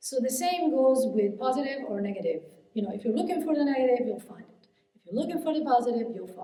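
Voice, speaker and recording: Lively intonation and a high pitch mark this woman's speech at a very fast pace. Her loudness swings a lot, and audible room echo is present. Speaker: hypnotherapist and mindset coach giving a keynote. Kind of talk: keynote speech. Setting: conference stage with audience. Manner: halting, many fillers and restarts.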